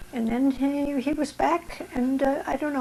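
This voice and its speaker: There is noticeable background noise as a woman speaks at a medium tempo. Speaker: Ukrainian Canadian wartime servicewoman and association member. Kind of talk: oral history interview answer.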